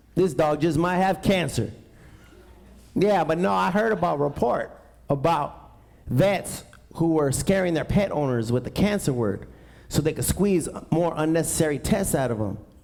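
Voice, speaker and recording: With an American accent, a man talks at a moderate pace in a fairly high pitch, his tone animated and his intonation lively, leaving long, frequent pauses while audible room echo surrounds him. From East Los Angeles. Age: 40s. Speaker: stand-up comedian. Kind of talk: stand-up. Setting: stage with audience.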